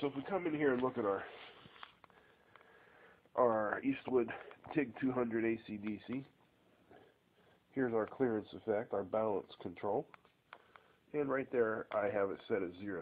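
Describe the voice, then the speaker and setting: A man talks at a moderate pace with ordinary pitch variation and long, frequent pauses. Light background noise sits behind him. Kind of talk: tutorial. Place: garage. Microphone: phone near.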